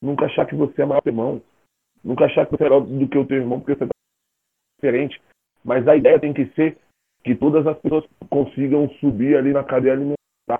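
A man talks at a fairly quick pace but with long, frequent pauses. His pitch is fairly high and his intonation monotone and flat. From Brazil, raised in Federal District (born Rio de Janeiro). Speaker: singer-songwriter. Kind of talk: casual chat.

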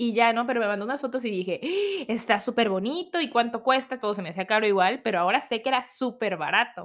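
The tone is animated, with ordinary pitch variation. The pace is fairly quick. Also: woman. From Mexico. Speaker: podcast host. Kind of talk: casual personal storytelling. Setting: home recording at computer.

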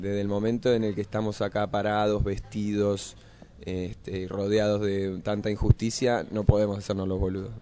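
A man's fairly low voice, dark and mellow in tone, moves at a moderate pace with monotone, flat intonation. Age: 30s. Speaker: actor and musician. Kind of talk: interview. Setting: radio studio cafe.

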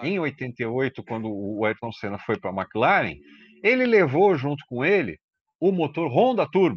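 A man speaks at a very slow pace with a fairly high pitch and very wide pitch swings. The sound is dry and close, with no echo. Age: 50s. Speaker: motoring journalist, podcast co-host. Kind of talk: casual chat. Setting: remote call.

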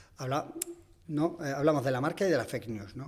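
A man talking at a fairly quick pace. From Extremadura, Spain. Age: 40s. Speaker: ad-tech executive. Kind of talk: casual interview. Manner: halting with frequent repetitions.

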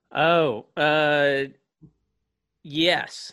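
The man's voice has a bright, sharp tone. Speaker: comedian and former band director. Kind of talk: casual chat. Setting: video call.

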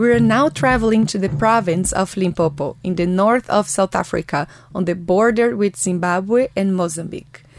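The speaker, in a Portuguese accent, talks with hardly any pauses. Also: woman, medium pitch for a woman, lively intonation, moderate pace. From Brazil. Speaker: podcast host. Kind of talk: scripted narration. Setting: studio.

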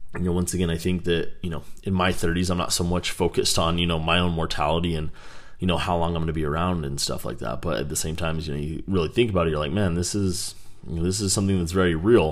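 Very fast, very deep, low male speech with fairly even intonation and audible room echo. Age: 30s. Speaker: podcast host. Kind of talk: casual monologue. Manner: halting, many fillers.

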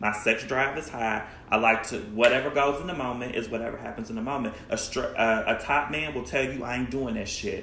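A man speaks at a fairly quick pace with hardly any pauses and fairly even intonation, his voice carrying audible room echo amid noticeable background noise. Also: medium pitch for a man. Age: 30s. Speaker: podcast co-host. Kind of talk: casual chat.

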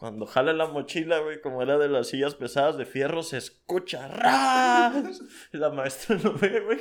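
With a plain, everyday voice, a man talks fairly slowly at a fairly high pitch with lively intonation. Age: 20s. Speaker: podcast guest. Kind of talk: casual chat.

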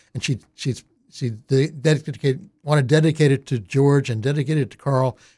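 On a very clean recording with a silent background, a man with a fairly high pitch and a dark, mellow, somewhat breathy tone speaks at a moderate pace with fairly even intonation. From Delaware, north Wilmington suburbs. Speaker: radio host. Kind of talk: casual interview.

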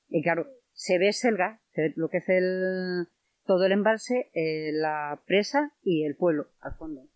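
A woman's medium-pitched voice moves very slowly, her intonation lively throughout. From Spain, León province village. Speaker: villager and tour guide. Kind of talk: casual interview.

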